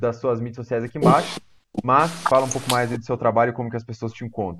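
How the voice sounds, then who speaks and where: His pitch sits in the medium range as the man talks. There is a very clean recording and a silent background. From small-town Brazil. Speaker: podcast host. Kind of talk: podcast interview.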